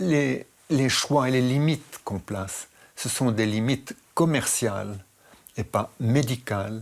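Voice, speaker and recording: On a very clean recording with a silent background, a man at medium pitch speaks at a very slow pace with ordinary pitch variation. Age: 80s+. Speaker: interviewee, radiation expert. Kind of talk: interview. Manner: halting.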